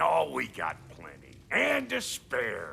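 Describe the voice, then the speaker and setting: Over clear background noise, a man puts on a raspy character voice and speaks at a very slow pace. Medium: video game. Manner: gruff, brash.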